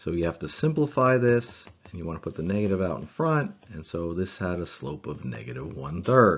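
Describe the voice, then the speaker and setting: Speaking at a moderate pace, the man has a very deep, low pitch. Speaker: math teacher. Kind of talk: lecture.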